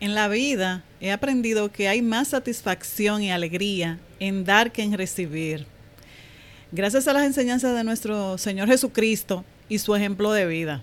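Speaking rather unhurriedly, a woman with an unremarkable speaking voice keeps a middle pitch that rises and falls in a normal way. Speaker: banking professional. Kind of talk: testimony.

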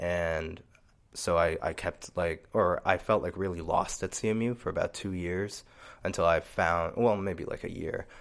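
Recorded very cleanly against a silent background, a man with an American accent speaks at a moderate pace in a very deep, low pitch with fairly even intonation. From New Jersey suburbs, US. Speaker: saxophonist and composer. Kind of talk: casual interview chat.

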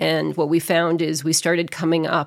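Recorded very cleanly against a silent background, a woman with a plain, everyday voice speaks in an American accent with a fairly low pitch and fairly even intonation. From New England (outside Boston). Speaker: mayor. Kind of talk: casual interview.

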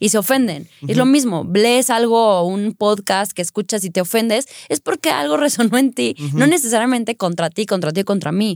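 A woman's ordinary speaking voice, medium in pitch, with lively intonation, a fairly quick pace and hardly any pauses, in a very clean recording with a silent background and a dry, close sound with no echo. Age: 30s. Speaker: lawyer and acrobat. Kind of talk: casual chat.

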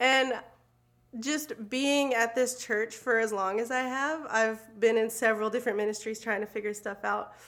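A woman speaks with an ordinary speaking voice at a moderate pace. Her pitch is fairly high and her intonation fairly even. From US South, moved often. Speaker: church ministry assistant. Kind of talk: casual chat.

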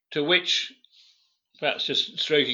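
Speaking at a moderate pace, a man has a bright, sharp tone. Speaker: guest, son of a general. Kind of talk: interview chat. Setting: remote recording from Scotland. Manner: hesitant, fillers.

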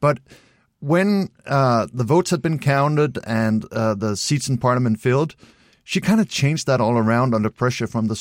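A medium-pitched man with a Danish accent, captured on a very clean recording with a silent background. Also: dry, close sound with no echo. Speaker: political commentator. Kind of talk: interview.

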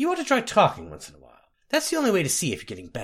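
A man's put-on character voice, high-pitched and fairly bright in tone, with very wide pitch swings at a very fast pace.

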